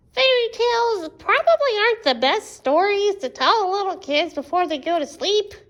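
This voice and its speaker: A woman's cartoonish character voice at an extremely high pitch. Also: moderate pace. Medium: puppet. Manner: exaggerated, dramatic.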